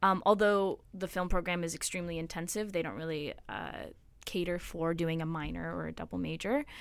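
A woman speaks at a fairly quick pace in an ordinary speaking voice, fairly low in pitch with ordinary pitch variation. The recording is very clean, with a silent background. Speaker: film production student. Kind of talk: casual chat. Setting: studio.

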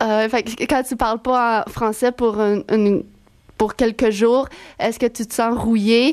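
A woman talks with a fairly high pitch and a slightly mellow tone. Her pace is fairly slow and her intonation fairly even.

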